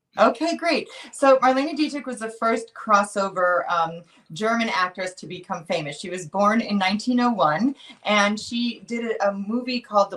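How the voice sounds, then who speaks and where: With lively intonation and a moderate pace, a woman talks while noticeable background noise goes on. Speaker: actress and voice over artist. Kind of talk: interview answer.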